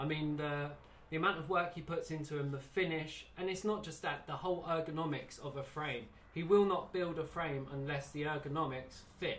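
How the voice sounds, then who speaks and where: With an English accent, a man speaks at a moderate pace and a fairly high pitch. His intonation is fairly even, and background noise is noticeable. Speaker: slingshot band maker. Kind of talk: casual interview. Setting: workshop.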